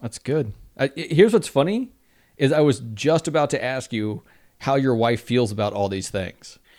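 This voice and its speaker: A man with an American accent and a normal speaking voice, medium in pitch, with lively intonation at a moderate pace, on a very clean recording with a silent background. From Texas. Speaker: podcast host. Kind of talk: casual interview chat. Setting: home office.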